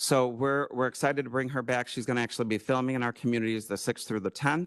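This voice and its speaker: Speaking at a very fast pace, a man with an American accent has a medium pitch. The sound is dry and close with no echo, over a quiet background. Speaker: tourism presenter. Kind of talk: presentation to county board. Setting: county board meeting room.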